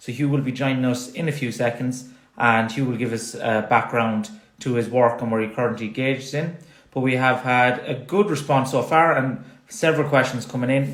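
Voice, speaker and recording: At a fairly quick pace and a medium pitch, a man with a strong Irish accent uses ordinary pitch variation amid audible room echo. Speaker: sports science consultant, live stream host. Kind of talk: live-stream interview. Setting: Instagram Live video stream.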